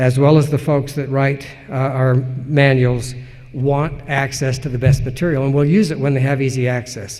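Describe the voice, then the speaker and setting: A man with an American accent, fairly high in pitch, with fairly even intonation and audible room echo. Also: moderate pace. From Utah, Salt Lake Valley. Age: 60s. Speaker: historian, professor. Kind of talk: lecture Q&A. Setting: conference stage with audience. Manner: measured, some hesitations.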